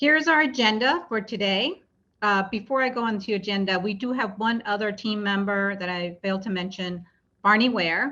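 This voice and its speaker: A woman with an unremarkable speaking voice keeps a moderate pace, a medium pitch and ordinary pitch variation. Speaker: project presenter. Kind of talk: public meeting presentation. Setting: virtual meeting.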